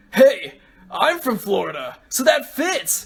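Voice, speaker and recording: This put-on character voice is high-pitched and delivered at a fairly slow pace. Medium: read story. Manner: laid-back, casual.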